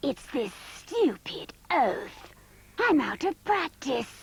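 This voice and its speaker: A cartoonish character voice, pitched high, swings very widely up and down while moving at a very slow pace. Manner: dry, sly.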